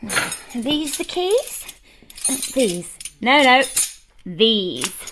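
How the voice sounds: Using a put-on character voice, a woman speaks at a fairly high pitch with a fairly bright tone. She moves through big pitch swings at a very slow pace.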